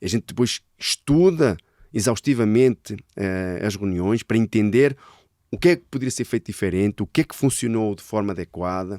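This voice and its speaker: In a very clean recording with a silent background, a man speaks at a fairly low pitch and a moderate pace. His dark, mellow tone comes through dry and close with no echo, showing ordinary pitch variation and big swings in loudness. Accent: European Portuguese. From Portugal. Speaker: sales director. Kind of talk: casual interview chat.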